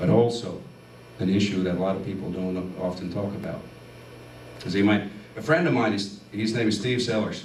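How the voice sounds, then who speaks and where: Against noticeable background noise and audible room echo, a man with a fairly low pitch speaks at a fairly quick pace, with ordinary pitch variation and long, frequent pauses. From Finland. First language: Finnish. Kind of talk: testimony. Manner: animated.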